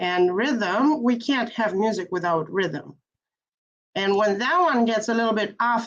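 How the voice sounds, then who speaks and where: Someone with a non-native accent talks at a fairly slow pace with ordinary pitch variation. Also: woman. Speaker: piano teacher. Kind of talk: panel discussion.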